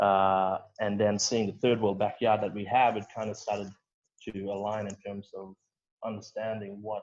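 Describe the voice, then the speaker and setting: The voice moves at a moderate pace with big swings in loudness. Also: man. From Western Australia, Broome. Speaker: youth mental health advocate. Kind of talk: interview answer. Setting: online call.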